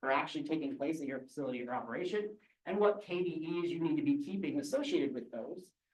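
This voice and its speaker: Audible room echo surrounds a man talking very fast at a high pitch with very wide pitch swings. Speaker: seafood safety extension specialist. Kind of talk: conference presentation. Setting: conference room with audience.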